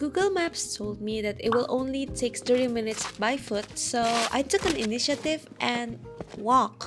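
Music plays behind a woman speaking. Her intonation is lively, and her pace fairly slow. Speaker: travel vlogger. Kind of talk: casual vlog narration.

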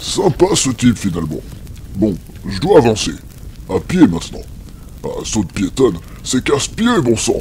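A man does a put-on character voice at a moderate pace with long, frequent pauses over clear background noise. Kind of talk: comic overacting. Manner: cocky, mocking.

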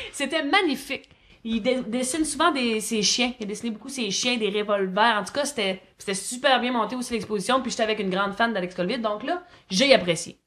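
Fairly quick, fairly high-pitched speech from a woman, with ordinary pitch variation. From Quebec, Gaspésie. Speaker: comedian. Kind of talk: casual chat. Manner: fast.

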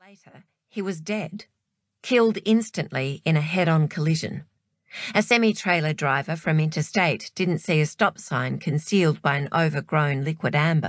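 A woman speaks at a moderate pace with a very deep, low pitch and ordinary variation. Her loudness swings widely. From Australia. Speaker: audiobook narrator. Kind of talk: audiobook narration.

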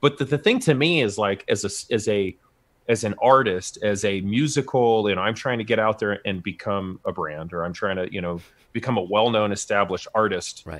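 A man with a plain, everyday voice speaks at a fairly quick pace, fairly low in pitch with ordinary pitch variation. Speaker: bass player and record producer. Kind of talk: casual chat. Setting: video call. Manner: casual.

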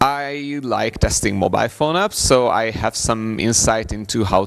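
The man talks fairly slowly, his pitch varying ordinarily, with little sound behind him. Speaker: conference presenter. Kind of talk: conference talk. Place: hall.

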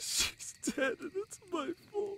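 Putting on a character voice, a man speaks slowly at an extremely high pitch, with a bright, sharp tone, vocal fry and ordinary pitch variation.

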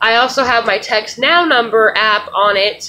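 Speaking at a fairly slow pace, a woman has a bright, sharp tone, a fairly high pitch and ordinary pitch variation. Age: 30s. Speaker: vlogger. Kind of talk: casual vlog rant. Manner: animated. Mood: frustrated, indignant. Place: home room. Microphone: webcam.

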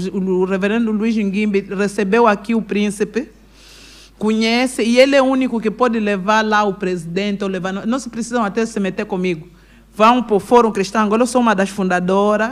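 A woman's fairly high-pitched voice, an ordinary speaking voice, with fairly even intonation and a fairly quick pace. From Angola, Kwanza Sul; Angola. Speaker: businesswoman and pastor; pastor. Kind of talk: interview. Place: studio. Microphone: studio mic.

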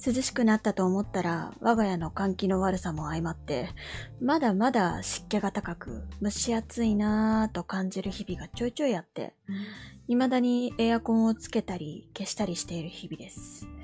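A woman talks at a moderate speed while music plays in the background. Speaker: VTuber. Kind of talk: casual talk to listeners.

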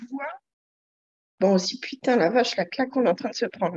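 Against a quiet background, a woman with a high pitch speaks with lively intonation. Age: 40s. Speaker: client giving a weight-loss testimonial. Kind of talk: testimony.

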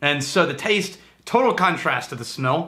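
Bright and sharp in tone, a man's voice moves at a moderate pace over light background noise. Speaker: whisky reviewer host. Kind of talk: casual tasting review chat. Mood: enthusiastic, relaxed. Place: home room.

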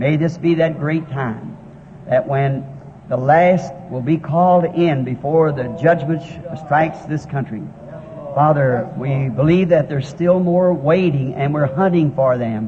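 Against noticeable background noise, a man speaks at a fairly slow pace with ordinary pitch variation. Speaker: preacher. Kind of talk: sermon prayer. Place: hall. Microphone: old recording.

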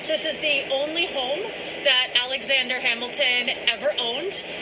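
A woman with a high-pitched voice is heard over noticeable background noise. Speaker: tour guide. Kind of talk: on-location tour-guide history narration mixed with news interview. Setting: outdoors at a historic site. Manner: enthusiastic, storytelling guide cadence; earnest, articulate, polished actress delivery.

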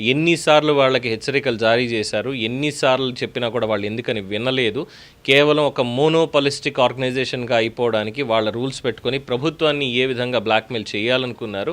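A man speaks at a medium pitch in a normal speaking voice with ordinary pitch variation. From Telugu states, India. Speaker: political news commentator. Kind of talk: news commentary monologue.

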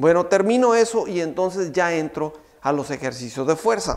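Fairly high-pitched male voice with lively intonation, a moderate pace and a quiet background. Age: 50s. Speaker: fitness trainer. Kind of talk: tutorial. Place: studio. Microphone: lapel.

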